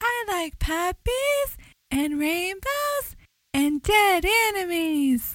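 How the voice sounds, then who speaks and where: A put-on character voice comes out squeaky, with very wide pitch swings. The delivery is very slow. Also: woman, extremely high pitch for a woman. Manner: creepy, feigned innocence.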